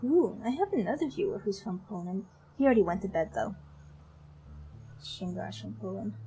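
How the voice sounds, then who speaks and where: A woman with a European accent speaks at a moderate pace, pausing long and often. Her loudness swings widely. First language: a European language, not English. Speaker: streamer. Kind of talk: casual chat. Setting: livestream. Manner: unusual way of speaking.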